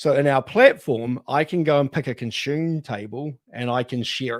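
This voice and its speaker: A man talks with a New Zealand accent. The recording is very clean, with a silent background. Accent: New Zealand (Kiwi). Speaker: data architecture consultant. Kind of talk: panel discussion.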